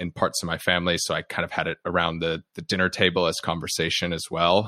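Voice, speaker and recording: With an American accent, a man speaks very fast in a very deep, low voice, his tone bright and sharp, his intonation monotone and flat, on a very clean, dry, close recording with no echo and a silent background. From United States. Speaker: podcast host and company founder, guest on another show. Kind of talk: casual interview conversation.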